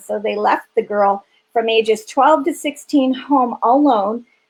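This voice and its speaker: This woman has a plain, everyday voice with a fairly high pitch. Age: 50s. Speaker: founder of a refuge for sex trafficking victims. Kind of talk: interview on a live stream. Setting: live stream interview.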